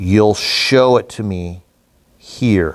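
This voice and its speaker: Putting on a character voice, a man talks at a fairly low pitch with ordinary pitch variation. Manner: threatening.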